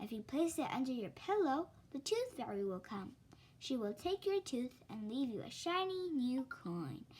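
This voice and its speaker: Putting on a character voice, a woman speaks high at a moderate pace with very wide pitch swings, with clear background noise behind her. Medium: read story.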